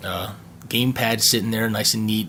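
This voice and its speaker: A man talks at a fairly quick pace in a medium pitch against noticeable background noise. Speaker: tech YouTuber. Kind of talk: unboxing video. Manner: halting, stuttering; casual.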